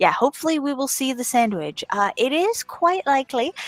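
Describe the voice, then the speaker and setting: Music plays behind a woman whose voice sounds dry and close, without any echo. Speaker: game stream commentator. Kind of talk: live commentary. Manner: loud.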